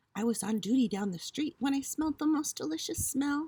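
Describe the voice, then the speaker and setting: Putting on a character voice, a woman speaks high-pitched at a fairly quick pace with very wide pitch swings, the sound dry and close with no echo. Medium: read story.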